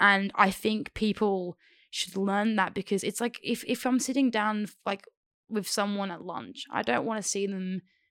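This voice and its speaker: In an Australian accent, a woman speaks at a medium pitch and moderate pace with ordinary pitch variation, on a very clean recording with a silent background. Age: 20s. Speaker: aspiring cinematographer. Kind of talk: casual chat. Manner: animated.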